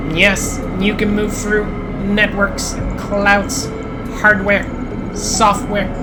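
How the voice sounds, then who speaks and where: In a put-on, whiny character voice, a female-sounding speaker at medium pitch goes at a very slow pace against loud background noise. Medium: game stream. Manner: clipped, broken phrases.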